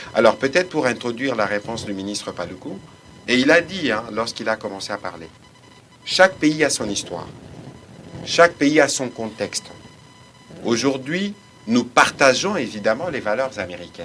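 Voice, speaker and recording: With music in the background, the voice moves at a moderate pace with very wide pitch swings and long, frequent pauses. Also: man, medium pitch for a man. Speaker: government official. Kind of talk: press briefing. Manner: formal.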